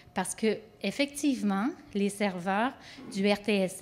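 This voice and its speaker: Using a plain, everyday voice, the woman talks at a medium pitch, her pitch varying in an ordinary way. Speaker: government project manager. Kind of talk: conference presentation.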